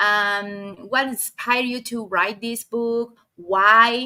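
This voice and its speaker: Here is a woman with a Spanish accent. Her voice is high-pitched with a bright, sharp tone. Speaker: video podcast host. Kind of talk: interview.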